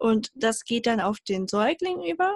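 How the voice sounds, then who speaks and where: A woman speaks at a fairly slow pace. Her voice is fairly high and somewhat breathy. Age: 20s. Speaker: mechanical engineer and self-love advocate. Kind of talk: interview.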